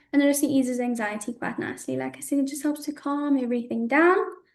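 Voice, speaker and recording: There is audible room echo around this woman's high-pitched voice. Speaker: women's health educator. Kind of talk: webinar lecture. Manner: fast.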